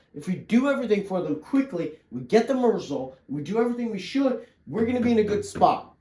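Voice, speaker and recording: Noticeable noise runs behind a man talking at a fairly quick pace. His pitch swings very widely. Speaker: agency owner, online business creator. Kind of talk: casual business planning chat. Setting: talking with a guest on a call. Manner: fast.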